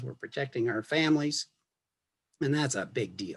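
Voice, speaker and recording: Somewhat breathy male voice, its pitch varying in an ordinary way. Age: 70s. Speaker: retired family physician. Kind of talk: health information interview. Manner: repeats words, halting.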